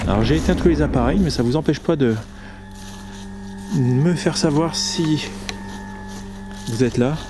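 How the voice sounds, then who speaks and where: Over music in the background, a man with a fairly high pitch talks at a fairly slow pace with lively intonation, very even loudness and long, frequent pauses. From northern France (Hauts-de-France). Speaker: paranormal explorer YouTuber. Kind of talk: on-location vlog, addressing spirits and viewers. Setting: outdoors in a forest at night.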